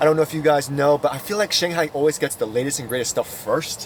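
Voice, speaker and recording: Speaking at a very fast pace with an American accent, a man with a fairly high pitch uses an animated tone and lively intonation, in a dry recording with no echo and light background noise. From United States. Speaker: car YouTuber. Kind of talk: casual vlog review. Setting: inside a car at a showroom. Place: car. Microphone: phone near.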